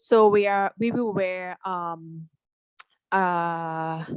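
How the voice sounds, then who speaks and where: A woman with a Thai accent, medium pitch and fairly even intonation, in a dry, close sound with no echo. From Thailand. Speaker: landscape architect. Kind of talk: exam interview answer.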